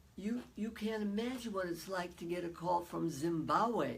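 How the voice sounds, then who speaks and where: At a fairly slow pace, a woman speaks in a medium pitch with ordinary pitch variation, amid noticeable background noise and audible room echo. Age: 80s+. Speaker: psychologist and author. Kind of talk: interview.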